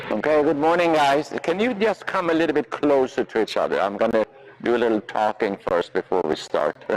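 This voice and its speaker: In a Swedish accent, a man speaks at a fairly high pitch with very wide pitch swings and very even loudness, the sound dry and close with no echo over noticeable background noise. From Sweden. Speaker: riding instructor. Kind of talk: clinic lesson teaching. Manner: halting, many fillers.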